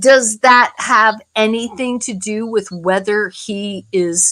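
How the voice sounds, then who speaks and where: This voice has a bright, sharp tone and ordinary variation in pitch. It moves at a very slow pace. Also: woman. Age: 60s. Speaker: live stream guest. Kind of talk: casual chat.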